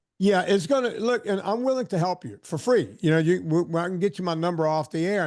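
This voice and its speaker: Lively intonation marks this man's speech. He moves at a fairly quick pace against a quiet background. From US South, southern Louisiana. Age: 60s. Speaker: fitness trainer. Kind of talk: casual chat.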